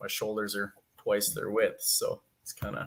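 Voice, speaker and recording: A man talks with a western Canadian accent. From Canada, Alberta. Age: 20s. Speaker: amateur bodybuilder. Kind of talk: casual interview chat.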